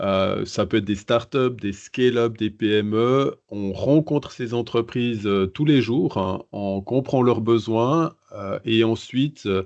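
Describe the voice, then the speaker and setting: A man with a Swiss accent speaks at a very slow pace and a medium pitch, using ordinary pitch variation and hardly any pauses. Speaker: innovation advisor. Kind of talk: podcast interview. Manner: hesitant, many fillers.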